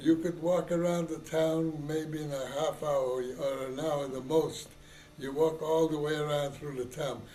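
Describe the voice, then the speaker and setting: Noticeable background noise and audible room echo surround a man whose fairly high voice stays monotone and flat at a fairly slow pace. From Poland. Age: 80s+. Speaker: elderly immigrant interviewee. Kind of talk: oral history interview. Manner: halting, hesitant.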